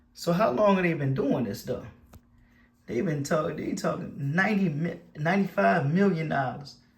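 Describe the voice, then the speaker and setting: A man speaks in an animated tone at a fairly high pitch, with lively intonation and vocal fry. Audible room echo surrounds his voice. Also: moderate pace. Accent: Baltimore. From Baltimore, Maryland. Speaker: YouTuber. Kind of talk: casual commentary.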